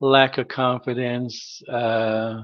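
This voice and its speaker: A man speaks with monotone, flat intonation. His pitch is medium. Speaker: retired manager, stuttering advocate. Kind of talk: documentary interview.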